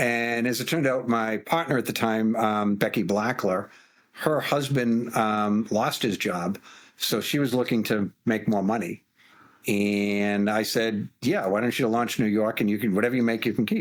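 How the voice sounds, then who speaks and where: Recorded very cleanly with a silent background, a man speaks at medium pitch and a moderate pace, his intonation fairly even and his loudness very even. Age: 60s. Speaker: finance executive and founder. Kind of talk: interview. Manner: halting, repeats words.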